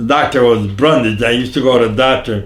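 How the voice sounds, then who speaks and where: A man with an American accent speaks at a fairly quick pace and medium pitch, with audible room echo around him. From northeastern Pennsylvania, Jessup. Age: 90s. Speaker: elderly local resident interviewed on town history. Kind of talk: casual interview. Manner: halting, repeats words.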